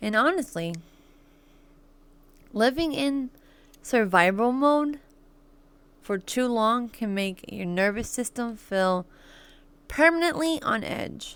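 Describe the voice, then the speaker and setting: On a very clean recording with a silent background, a woman speaks at a very slow pace in a fairly high pitch, with very wide pitch swings and long, frequent pauses. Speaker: podcast host. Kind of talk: reading aloud. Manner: halting.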